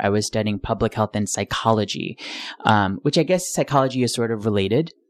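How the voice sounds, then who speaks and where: A man at medium pitch with an American accent, talking at a fairly quick pace with ordinary pitch variation, dry and close with no echo over a quiet background. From US Northeast, Rochester, New York. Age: young. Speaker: stage actor. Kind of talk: interview. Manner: articulate.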